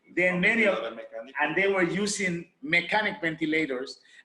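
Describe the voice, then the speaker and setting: A man talks at a fairly quick pace in a Spanish accent. His voice sits high in pitch. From Honduras, Garifuna community. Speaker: medical doctor. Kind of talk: presentation. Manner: halting.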